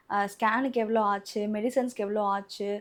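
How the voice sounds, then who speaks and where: A woman speaks at a fairly high pitch with monotone, flat intonation. The recording is very clean, with a silent background. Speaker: vlogger. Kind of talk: casual vlog talk to camera.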